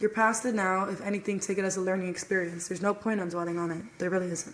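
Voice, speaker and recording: Speaking at a very fast pace, a woman with a medium pitch keeps her intonation fairly even over noticeable background noise. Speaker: podcast co-host sharing abuse story. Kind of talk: testimony. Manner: flat, numb-sounding.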